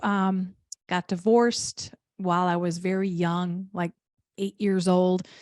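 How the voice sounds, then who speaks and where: Against a quiet background, a woman with a Midwestern accent speaks in a monotone, flat intonation, the sound dry and close with no echo. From Wisconsin, rural area south of Milwaukee. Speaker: business coach. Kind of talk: interview guest. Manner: very distinct vowels.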